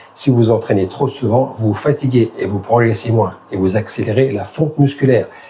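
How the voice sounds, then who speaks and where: There is noticeable background noise as a man talks at a moderate pace. His pitch is medium, with ordinary variation. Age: 60s. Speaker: fitness youtuber. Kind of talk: tutorial. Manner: casual.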